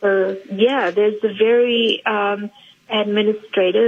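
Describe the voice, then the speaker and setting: Speaking at a fairly slow pace, a woman holds a medium pitch with monotone, flat intonation. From South Africa, East London. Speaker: actress. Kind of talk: radio interview.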